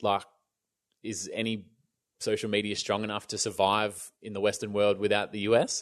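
Over a quiet background, a man with an Australian accent talks at a moderate pace in a fairly low pitch, his intonation flat and monotone, with long, frequent pauses. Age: 30s. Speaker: YouTube creator, former radio presenter. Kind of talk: casual interview chat. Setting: remote call during lockdown.

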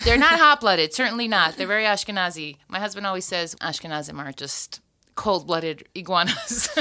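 A woman with an American accent, medium pitch and lively intonation, a fairly quick pace and big swings in loudness. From US, Florida. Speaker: podcast host and singer. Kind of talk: casual chat. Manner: quick and witty.

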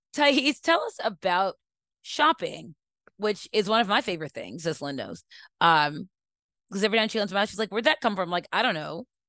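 Speaking fairly quickly with an American accent, a woman uses very wide pitch swings and an animated tone, her bright, sharp voice captured in a dry, close sound with no echo. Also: medium pitch for a woman. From Baltimore, US. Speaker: podcast co-host, columnist. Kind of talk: casual chat. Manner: animated, humorous.

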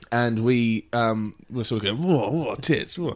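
In a very clean recording with a silent background, a man with an English accent talks fairly quickly at a medium pitch, his intonation lively. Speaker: podcast host. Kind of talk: casual chat.

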